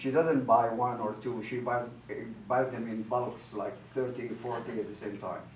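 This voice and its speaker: At a moderate pace and medium pitch, a man speaks amid noticeable background noise and audible room echo. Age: 70s. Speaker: comedian. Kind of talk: stand-up. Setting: stage with audience. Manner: halting.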